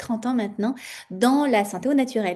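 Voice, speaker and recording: Speaking at a moderate pace, a woman uses a fairly high pitch with ordinary pitch variation and a dark, mellow tone. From France. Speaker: natural health entrepreneur. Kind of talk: interview. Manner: hesitant, many fillers.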